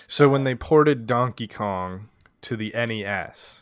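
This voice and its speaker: Over a very clean recording with a silent background, a man with an unremarkable speaking voice speaks at medium pitch and a fairly slow pace. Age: 30s. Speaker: podcast co-host, retro gaming. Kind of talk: casual chat.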